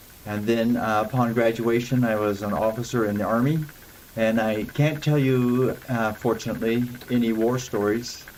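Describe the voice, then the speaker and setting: A man with an American accent speaks at a moderate pace and a medium pitch, with fairly even intonation. Noticeable background noise can be heard. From Idaho, US. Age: 70s. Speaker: city council candidate, retired Olympic athlete. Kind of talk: interview. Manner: hesitant fillers.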